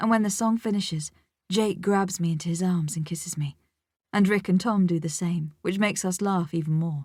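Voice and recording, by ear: With a quiet background, someone is reading aloud in a natural voice, and the pitch varies by an ordinary amount.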